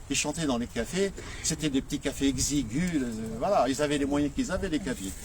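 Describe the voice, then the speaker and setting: Noticeable background noise sits behind a man who talks at a fairly quick pace in a fairly high pitch with lively intonation. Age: 70s. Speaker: nephew of a late singer, retired farmer. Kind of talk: informal speech to an audience at a commemoration. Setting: live gathering with audience. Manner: halting, many repetitions and hesitations.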